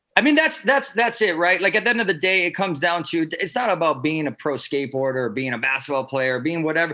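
Against noticeable background noise, a man talks at a very fast pace with hardly any pauses, his high pitch moving in very wide swings. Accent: American. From Wisconsin. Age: 30s. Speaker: pro skateboarder. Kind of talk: casual interview.

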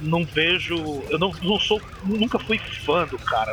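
A man is speaking. Music plays in the background. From Northeast Brazil (Maceió, Alagoas). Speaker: metal podcast host. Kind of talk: casual chat. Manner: animated.

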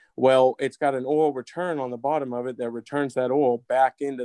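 A man with an American accent speaks at a medium pitch and a fairly quick pace, his dark, mellow tone delivered in monotone, flat intonation over a quiet background, with a dry, close sound and no echo. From Florida. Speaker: industrial refrigeration mechanic. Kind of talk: technical interview. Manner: halting.

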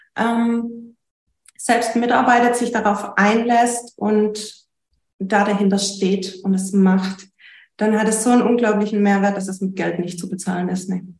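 A woman speaks slowly-paced, somewhat breathy and at a medium pitch. Her intonation is monotone and flat, with audible room echo around her. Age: 30s. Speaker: business owner and coaching client. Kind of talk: interview.

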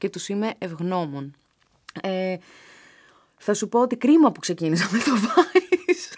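A woman talks at a fairly slow pace with a medium pitch and very wide pitch swings. She leaves long, frequent pauses. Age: 30s. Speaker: journalist and presenter. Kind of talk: casual chat.

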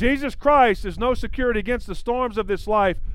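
Audible room echo surrounds a man speaking at a high pitch with an American accent. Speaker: evangelist. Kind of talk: sermon.

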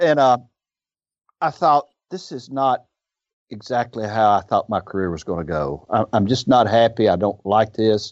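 A man with a Southern US accent speaks at medium pitch and a moderate pace. His intonation is lively, broken by long, frequent pauses. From US South, northern Mississippi. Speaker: independent pharmacy owner. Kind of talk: interview.

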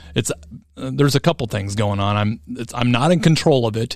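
A man with an ordinary speaking voice talks at a medium pitch and a moderate pace, with an American accent. His intonation is lively. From Iowa, US Midwest. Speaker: podcast co-host. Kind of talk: casual chat.

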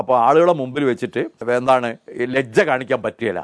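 Against a quiet background, a man talks at medium pitch in a dry, close sound with no echo. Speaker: retired schoolteacher and science movement activist. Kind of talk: interview.

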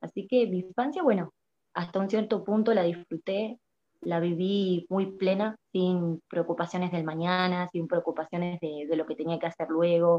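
Her pitch fairly low and her intonation fairly even, a woman speaks at a moderate pace. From Argentina. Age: 20s. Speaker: prophet and social media preacher. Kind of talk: interview testimony. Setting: live video stream. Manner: hesitant, many fillers.

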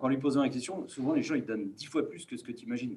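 A man talks at a very fast pace and medium pitch with lively intonation. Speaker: business school student. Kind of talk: group discussion.

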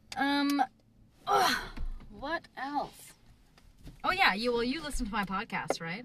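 This woman talks in a raised, projected voice with a high pitch, very wide pitch swings, a very slow pace and long, frequent pauses. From Canada. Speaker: podcast host and jiu jitsu practitioner. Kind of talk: casual interview.

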